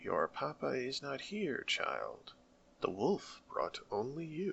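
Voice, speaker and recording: A man's put-on character voice at a very slow pace. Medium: read story. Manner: precise, patient, kindly.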